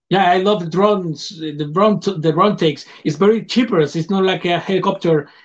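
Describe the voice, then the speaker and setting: This man talks at a fairly quick pace with hardly any pauses, his pitch high and his intonation fairly even, in a non-native accent. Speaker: film director. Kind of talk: interview. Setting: video call. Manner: halting.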